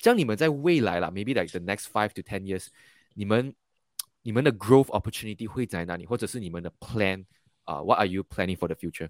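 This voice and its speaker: The pitch varies in an ordinary way on a very clean recording with a silent background and a dry, close sound with no echo. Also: man. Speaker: podcast host interviewing entrepreneurs. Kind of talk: interview. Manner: frequent fillers and hesitations.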